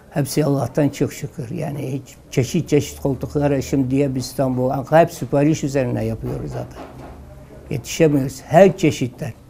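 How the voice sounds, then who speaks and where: A man with a fairly high pitch speaks at a moderate pace with fairly even intonation. There is noticeable background noise. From southeastern Turkey, Mardin. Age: 70s. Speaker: woodcarving craftsman. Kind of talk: interview testimony. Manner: halting.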